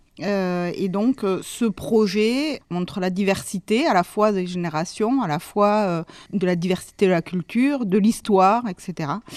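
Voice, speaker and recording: Against a quiet background with a dry, close sound and no echo, a woman with a medium pitch speaks at a fairly slow pace, with ordinary pitch variation and hardly any pauses. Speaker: amateur clarinet player. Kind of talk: interview testimony.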